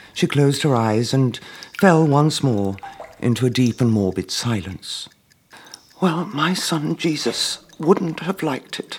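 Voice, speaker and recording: A man with a fairly high pitch and very wide pitch swings talks at a fairly slow pace over noticeable background noise. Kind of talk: performed poem and comic storytelling.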